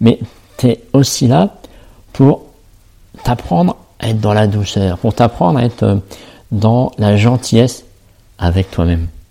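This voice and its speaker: A man talks at a very slow pace with ordinary pitch variation and long, frequent pauses. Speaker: self-love coach and podcaster. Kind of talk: solo podcast monologue. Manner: halting, many fillers and repetitions.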